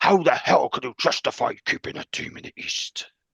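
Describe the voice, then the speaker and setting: In a growling, put-on character voice, a man speaks at a moderate pace and high pitch, his loudness swinging widely, with a dry, close sound and no echo. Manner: mocking, accusatory.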